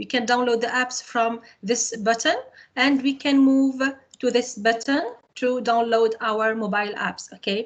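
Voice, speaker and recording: Her high pitch holds a fairly even intonation as the woman speaks. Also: fairly slow pace. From Tunisia. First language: Arabic. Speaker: computer science teacher and trainer. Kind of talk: webinar tutorial. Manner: halting, with many fillers.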